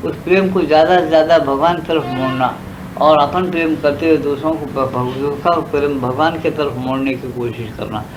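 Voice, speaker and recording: Ordinary pitch variation comes through audible room echo and noticeable background noise. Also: man. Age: 70s. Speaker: spiritual teacher. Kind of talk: spiritual discourse. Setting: satsang gathering. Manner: conversational, repetitive.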